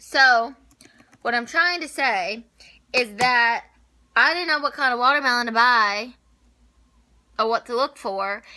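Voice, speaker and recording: A woman speaks loudly in a bright, sharp, animated tone, her pitch high with ordinary variation, at a fairly slow pace broken by long, frequent pauses. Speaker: lifestyle vlogger. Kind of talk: casual vlog talk.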